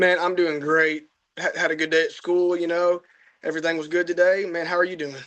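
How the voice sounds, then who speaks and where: A man with a Texas accent speaks in a high pitch at a fairly quick pace. His intonation stays monotone and flat. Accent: Southern US (Texas). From Southeast Texas (Beaumont). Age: young. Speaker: young hunter. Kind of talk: casual interview.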